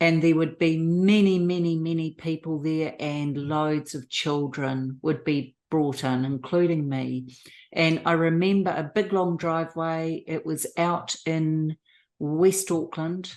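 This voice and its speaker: The voice moves at a very slow pace against a quiet background. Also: woman, fairly low pitch for a woman, fairly even intonation. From New Zealand. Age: 60s. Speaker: abuse survivor. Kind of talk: testimony interview.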